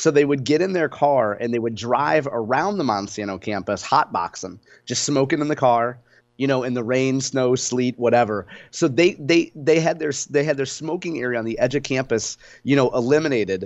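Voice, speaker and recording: A man with a normal speaking voice talks at a moderate pace, his pitch medium and its variation ordinary. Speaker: radio host. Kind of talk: casual chat.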